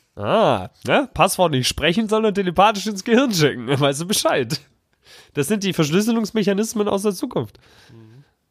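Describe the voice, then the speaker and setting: An animated man with a high pitch and very wide pitch swings, at a moderate pace. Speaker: podcast host. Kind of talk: live commentary over an episode.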